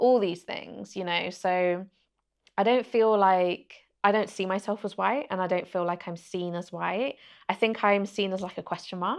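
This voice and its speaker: A woman with a Birmingham accent, medium in pitch, with fairly even intonation. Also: moderate pace, quiet background. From England, Birmingham. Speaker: journalist and interviewer. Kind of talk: podcast interview.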